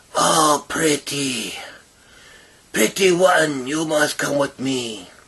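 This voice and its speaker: A man puts on a raspy character voice with a fairly high pitch. He speaks at a very slow pace. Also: ordinary pitch variation. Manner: creepy, beckoning.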